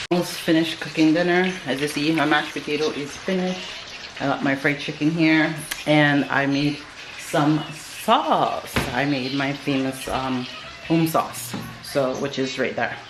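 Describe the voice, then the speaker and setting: A woman's very deep, low pitch, moderate pace and fairly even intonation, over noticeable background noise. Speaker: vlogger. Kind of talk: casual talk to camera.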